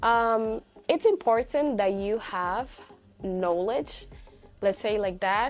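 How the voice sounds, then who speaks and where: Very slow, Spanish-accented speech with long, frequent pauses. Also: woman, fairly high pitch for a woman, ordinary pitch variation. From Dominican Republic. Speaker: language teacher and content creator. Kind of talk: casual vlog commentary. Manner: halting, with many fillers and restarts.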